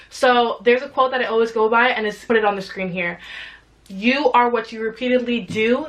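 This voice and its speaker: Noticeable background noise sits behind a woman with a high pitch. She speaks at a fairly quick pace in an animated tone. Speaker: YouTuber and entrepreneur. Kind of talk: motivational talk to camera.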